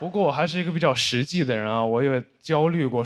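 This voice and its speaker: A man with a medium pitch talks at a fairly quick pace with ordinary pitch variation. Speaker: stand-up comedian; university student. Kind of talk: stand-up comedy set.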